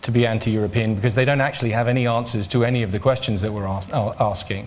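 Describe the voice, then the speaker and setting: A man's somewhat breathy, medium-pitched voice at a very fast pace, with fairly even intonation and audible room echo. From Ireland. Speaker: politician, party leader. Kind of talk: press conference Q&A. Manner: halting, repeats words.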